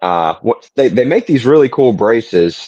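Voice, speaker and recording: In a Southern US accent, a man speaks at a moderate pace and medium pitch with lively intonation against a quiet background. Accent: soft Southern. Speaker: podcast guest. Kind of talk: casual chat. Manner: gentle, soft-spoken.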